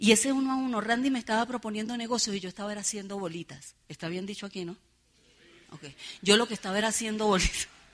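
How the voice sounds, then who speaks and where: Animated and very fast, a woman speaks at a fairly high pitch with ordinary pitch variation and big swings in loudness. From Venezuela, San Cristóbal (Táchira). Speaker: network marketing leader, motivational speaker. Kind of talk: motivational seminar speech. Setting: stage with audience.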